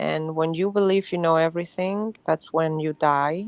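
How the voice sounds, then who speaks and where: Dry and close with no echo, a woman with a non-native accent speaks at a fairly slow pace in a fairly low, monotone voice with flat intonation. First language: not English. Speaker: livestream participant. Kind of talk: casual chat.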